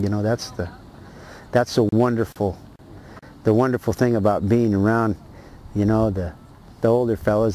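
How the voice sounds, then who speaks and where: At a moderate pace, a man with an American accent speaks at a medium pitch. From Martinez, California, US. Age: 60s. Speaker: rancher. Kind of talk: oral history interview. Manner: halting, many repetitions and fillers.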